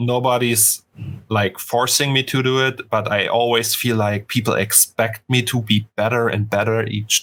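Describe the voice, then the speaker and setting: With a German accent, a man talks at a moderate pace in a medium pitch, his intonation monotone and flat. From Germany. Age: 30s. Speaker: 3D artist. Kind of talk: casual interview chat. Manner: halting, many stutters and restarts.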